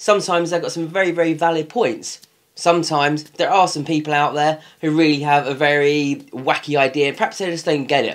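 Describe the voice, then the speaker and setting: A fairly high-pitched man with a British accent, at a fairly quick pace. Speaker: business coach. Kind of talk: tutorial. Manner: fast.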